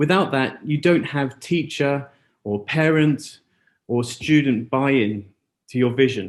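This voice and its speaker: Against a quiet background, a man with an unremarkable speaking voice talks at a fairly slow pace and fairly high pitch with ordinary pitch variation. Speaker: school educator presenting at seminar. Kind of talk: conference presentation. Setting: auditorium with live translator and zoom.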